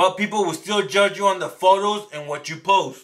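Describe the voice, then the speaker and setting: Raising and projecting his voice, a man sounds bright and sharp. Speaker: small business owner and online entrepreneur. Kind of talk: live stream talk to chat viewers. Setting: live stream. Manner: stumbles over some words; casual, conversational.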